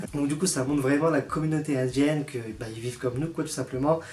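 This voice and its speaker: A man speaks in a fairly high pitch. His intonation is flat and monotone. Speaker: YouTuber. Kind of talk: casual vlog ranking. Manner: fast.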